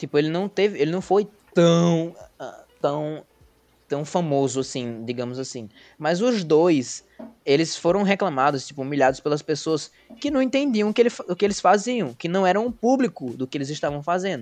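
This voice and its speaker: A man with a high voice, lively intonation and a moderate pace. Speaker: podcast host. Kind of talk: casual chat.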